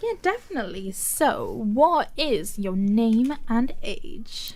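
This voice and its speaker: Room echo is audible as a woman talks at a very slow pace. Her voice is high-pitched, with very wide pitch swings. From Wales. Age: 21. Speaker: podcast co-host. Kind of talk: casual chat.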